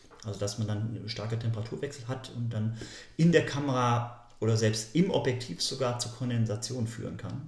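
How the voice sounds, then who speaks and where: In a room with audible echo, a man with a somewhat breathy, medium-pitched voice speaks at a fairly quick pace with ordinary pitch variation. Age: 40s. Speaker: nature photographer and author. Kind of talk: podcast interview.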